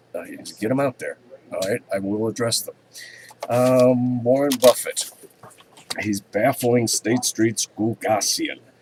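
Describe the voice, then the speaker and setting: A man at a fairly slow pace, with long, frequent pauses and big swings in loudness, dry, close sound with no echo, and noticeable background noise. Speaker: commodities market commentator. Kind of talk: market commentary webcast. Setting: open office with others nearby. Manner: halting, many fillers.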